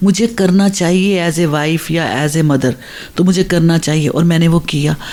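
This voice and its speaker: Noticeable background noise sits behind a woman speaking at a moderate pace and fairly low pitch with ordinary pitch variation. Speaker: radio panelist. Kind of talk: casual chat.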